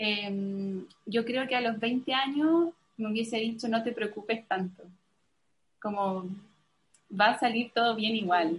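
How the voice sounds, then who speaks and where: A woman's fairly high, somewhat breathy voice at a very slow pace, with ordinary pitch variation and long, frequent pauses. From Chile. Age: 30s. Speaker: missionary. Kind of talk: testimony.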